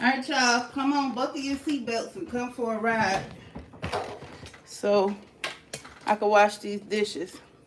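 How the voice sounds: Over audible room echo, a woman speaks slowly at a fairly high pitch with little pitch movement and long, frequent pauses.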